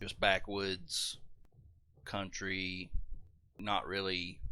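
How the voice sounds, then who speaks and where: Speaking in a Southern US accent, the man has a bright, sharp tone and ordinary pitch variation. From US South. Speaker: gaming streamer. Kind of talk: casual chat while livestreaming a game.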